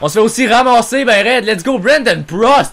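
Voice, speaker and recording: An animated tone and a Quebec accent come through at a moderate pace over noticeable background noise. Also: man. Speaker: gaming YouTuber. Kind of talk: live sports-style game commentary while playing NHL video game. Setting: home recording, gameplay video voiceover. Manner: excitable, shouting, loud, swearing; animated, reacts loudly to every play.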